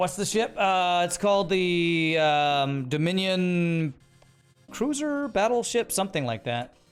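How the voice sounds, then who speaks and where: With music in the background, a man speaks loudly at a very slow pace and a high pitch, using lively intonation. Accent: American. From Texas (Waco area). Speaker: video game streamer. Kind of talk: live gameplay stream chat. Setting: live stream, wearing earbuds. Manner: animated.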